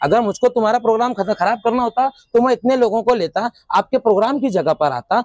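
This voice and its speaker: An extremely high-pitched male voice at a moderate pace, with ordinary pitch variation and a dry, close sound with no echo. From Bhiwandi, Maharashtra, India. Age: 20s. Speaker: teacher and local protester. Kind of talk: interview statement. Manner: halting, self-correcting.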